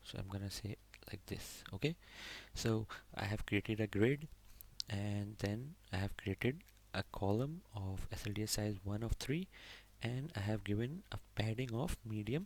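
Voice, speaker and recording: Captured in a very clean recording with a silent background, a man speaks at a fairly low pitch with ordinary pitch variation. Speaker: programming tutorial instructor. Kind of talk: tutorial. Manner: slow.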